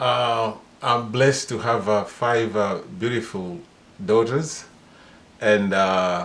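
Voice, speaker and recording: A man with a Kenyan accent, medium in pitch, with lively intonation. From Kenya, Mombasa. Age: 60s. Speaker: father being interviewed. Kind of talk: casual interview. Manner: halting, many fillers.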